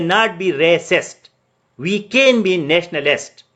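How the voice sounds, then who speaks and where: Speaking with a Pakistani accent, a man with a high pitch uses lively intonation. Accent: Pakistani (Pashtun) English. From Pakistan, Pashtun. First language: Pashto. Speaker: civil service exam tutor. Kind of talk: online lecture. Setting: live Facebook virtual class. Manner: code-switching English and Urdu.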